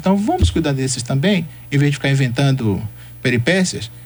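A man talks at a fairly quick pace in a fairly high voice, his pitch swinging very widely. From Brazil, Salvador, Bahia. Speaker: historian. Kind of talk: radio interview.

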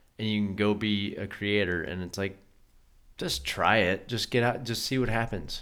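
In a plain, everyday voice with an American accent, a man talks at a moderate pace with a fairly low pitch and ordinary pitch variation. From US West, Colorado. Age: 30s. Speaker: podcast host. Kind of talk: casual chat.

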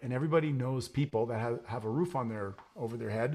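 A man with a medium-pitched, somewhat breathy voice talks at a fairly quick pace with ordinary pitch variation. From Quebec (Montreal). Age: 50s. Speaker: entrepreneur and real estate investor. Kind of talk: interview.

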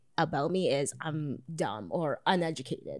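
In a Toronto accent, a woman speaks with a dry, close sound and no echo on a very clean recording with a silent background. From Canada, Toronto (Jane and Finch). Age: 30s. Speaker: sex worker and streamer. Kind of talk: casual chat.

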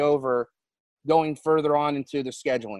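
A man speaks at a moderate pace in an unremarkable speaking voice, fairly high with ordinary pitch variation. The sound is dry and close, with no echo. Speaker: racing radio co-host. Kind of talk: radio interview and show banter. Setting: Zoom call with guest.

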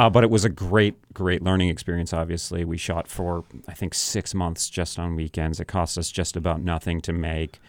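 With an American accent, a man talks in a very deep, low pitch and fairly even intonation, with hardly any pauses, in a very clean recording with a silent background. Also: moderate pace. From New Hampshire, US (Sandown). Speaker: film director. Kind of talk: interview. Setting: radio studio.

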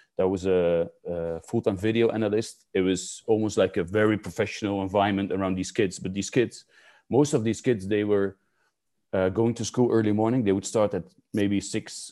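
Speaking at a moderate pace against a quiet background, a man in a Dutch accent has a fairly low pitch and a dark, mellow tone. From rural Netherlands. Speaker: youth football skills coach. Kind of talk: interview.

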